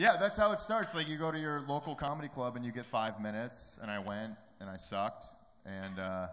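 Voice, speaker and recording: Using an American accent, a man speaks at a fairly quick pace with very wide pitch swings and big swings in loudness. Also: medium pitch for a man. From Detroit, Michigan. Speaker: comedian. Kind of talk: interview. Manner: fast.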